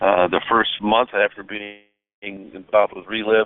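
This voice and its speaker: A man talks at a fairly quick pace. His fairly low voice stays monotone, with flat intonation. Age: 60s. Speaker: veterinarian and product distributor. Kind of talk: testimony. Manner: halting, many fillers.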